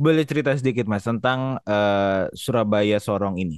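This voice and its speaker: At a moderate pace, a man's voice comes through dry and close with no echo, over a quiet background. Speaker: podcast host. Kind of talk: casual chat.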